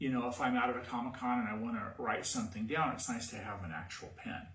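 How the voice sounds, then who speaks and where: A man speaks at a moderate pace with an West Virginia accent and ordinary pitch variation. Audible room echo surrounds his voice. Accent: West Virginia, pin-pen merger. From US, West Virginia. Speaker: cosplay costume maker. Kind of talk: tutorial. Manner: casual, halting.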